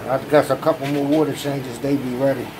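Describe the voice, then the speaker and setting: Moderate-paced speech from a man, set against noticeable background noise. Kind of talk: casual vlog chat. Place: home room. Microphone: phone near.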